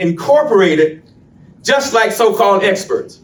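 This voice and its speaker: There is audible room echo around this voice. A man speaks at a high pitch with lively intonation. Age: 70s. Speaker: community activist. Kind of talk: public presentation. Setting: public meeting.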